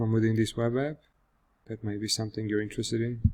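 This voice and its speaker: A man with a Georgian accent. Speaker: software developer. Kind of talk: product demo. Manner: casual with fillers.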